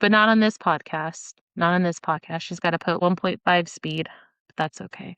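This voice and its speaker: A woman with a plain, everyday voice, fairly low in pitch and fairly even in intonation, at a moderate pace with big swings in loudness, recorded dry and close with no echo against a quiet background. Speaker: podcast host. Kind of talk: solo podcast monologue.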